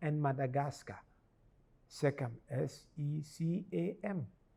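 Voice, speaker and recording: The tone is dark and mellow, and the voice is somewhat breathy. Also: man. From Ghana. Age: 70s. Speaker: archbishop. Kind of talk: interview.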